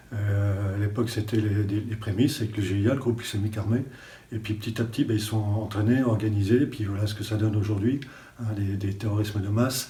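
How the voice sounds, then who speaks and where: Over an audible room echo, a man talks fairly quickly in a flat monotone, his fairly low, dark, mellow voice somewhat breathy. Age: 60s. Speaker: retired special forces gendarme. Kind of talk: interview testimony. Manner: hesitant, many fillers.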